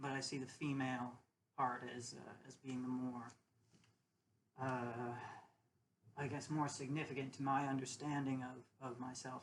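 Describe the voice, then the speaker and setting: In a room with audible echo, a woman with a very deep, low voice speaks in a flat monotone at a moderate pace, leaving long, frequent pauses. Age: 30s. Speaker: vlogger. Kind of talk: personal monologue. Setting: alone at home. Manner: halting, many fillers and repeats.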